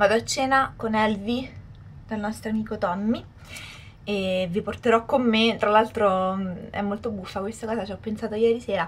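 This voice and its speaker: Somewhat breathy, a woman speaks at a moderate pace with fairly even intonation. She leaves long, frequent pauses. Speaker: vlogger. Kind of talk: casual vlog chat. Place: home room. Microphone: camera far.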